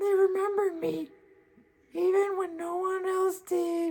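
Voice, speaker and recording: A put-on character voice at an extremely high pitch. The pace is fairly slow. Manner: timid, hesitant.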